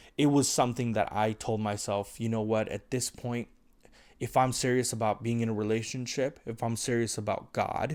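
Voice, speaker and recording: In a very clean recording with a silent background, a man speaks at a medium pitch. His intonation is monotone and flat. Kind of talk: monologue to camera. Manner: fast.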